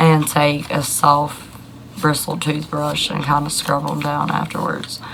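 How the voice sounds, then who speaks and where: A woman talks in a very deep, low pitch with monotone, flat intonation. Noticeable background noise and audible room echo fill the recording. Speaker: YouTuber answering denture questions. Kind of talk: casual Q&A talk to camera. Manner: hesitant, many fillers.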